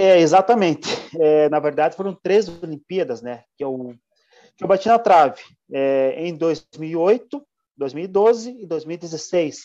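Speaking at a very slow pace, a man with a high pitch and a dark, mellow tone uses lively intonation and big swings in loudness. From Santa Catarina, Brazil (São Bento do Sul). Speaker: mountain bike racer. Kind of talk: interview.

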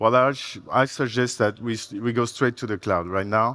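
A man speaks with a French accent and fairly even intonation. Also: quiet background. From France. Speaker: software architect. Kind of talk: conference talk. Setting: stage with audience. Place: stage.

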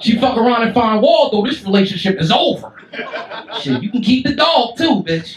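A man speaks at a moderate pace in an extremely high pitch with lively intonation, with audible room echo and light background noise. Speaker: stand-up comedian. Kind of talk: stand-up comedy set, crude and profane, roasting the crowd. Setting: stage with live audience in a comedy club. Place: stage.

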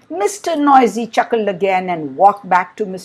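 Lively intonation over plain reading aloud

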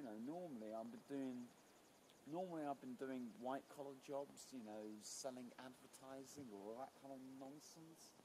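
A man's dark, mellow voice with lively intonation over noticeable background noise. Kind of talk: casual vlog chat. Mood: proud, playful. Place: waterside. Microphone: camera far.

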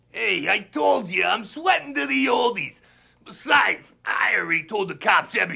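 A man is shouting at a high pitch, keeping a moderate pace. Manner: rude, defiant.

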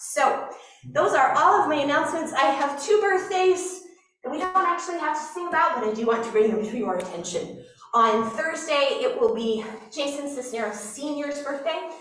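A woman's high voice at a moderate pace, with very wide pitch swings and audible room echo. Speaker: pastor. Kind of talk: church announcements. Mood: warm, lightly joking. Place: church.

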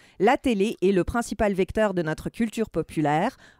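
In a normal speaking voice, a woman talks at a moderate pace with a dry, close sound and no echo. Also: very clean recording, silent background. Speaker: film and TV critic. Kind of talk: opinion discussion.

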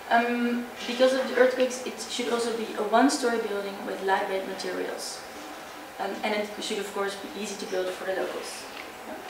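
A woman talks at a fairly quick pace. There is noticeable background noise and audible room echo. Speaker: presenter. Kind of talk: presentation. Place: hall. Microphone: camera far.

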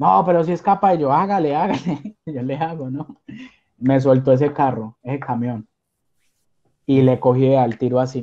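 Over a quiet background, a man with a fairly high pitch and a dark, mellow tone speaks at a fairly slow pace with ordinary pitch variation. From Colombia, Armenia; Colombia. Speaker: caregiver, immigrant; interview guest. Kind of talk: interview. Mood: cheerful, animated storytelling. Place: home room. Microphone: video call.

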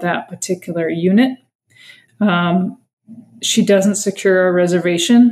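A plain, everyday voice speaks fairly slowly with an American accent. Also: woman. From Massachusetts, US. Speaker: sister of a missing person, advocate. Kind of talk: interview testimony.

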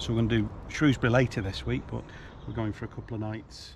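The man's voice sits fairly low, and the sound is dry with no echo. Noticeable background noise runs underneath. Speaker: travel vlogger. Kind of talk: casual vlog chat. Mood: upbeat, looking forward. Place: street. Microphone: phone near.

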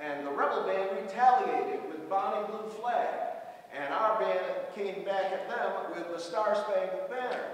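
A man speaks fairly slowly in a high pitch with ordinary pitch variation. Strong echo fills the room. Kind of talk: storytelling introduction to audience. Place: hall.

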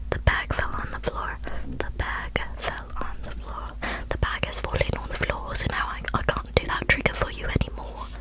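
A soft-spoken woman is whispering. She keeps a moderate pace. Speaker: ASMR creator. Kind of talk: soft roleplay talk to viewer. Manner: soft close-mic ASMR whisper. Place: home room.

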